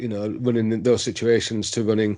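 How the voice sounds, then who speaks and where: Against a quiet background, a man at medium pitch speaks in a dark, mellow tone with monotone, flat intonation. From Yorkshire, England. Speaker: veteran whitewater kayaker. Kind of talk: casual interview. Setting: remote call.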